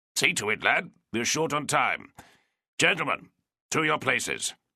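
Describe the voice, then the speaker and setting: A man puts on a raspy character voice at a fairly high pitch. His intonation is lively. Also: moderate pace. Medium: read story. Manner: curt, commanding.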